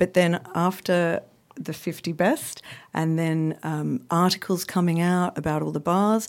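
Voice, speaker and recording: In a very clean recording with a silent background, a woman with an Australian accent speaks fairly slowly at a fairly low pitch with fairly even intonation. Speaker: cocktail blogger and art director. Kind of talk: casual chat. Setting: studio.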